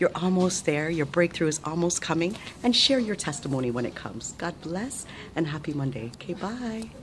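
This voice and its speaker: Amid noticeable background noise, a woman with a very deep, low pitch speaks at a fairly quick pace, her pitch swinging very widely. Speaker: motivational vlogger. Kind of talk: motivational talk to camera. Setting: hospital surgery preadmission. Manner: whispered. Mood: warm, upbeat, encouraging. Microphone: phone near.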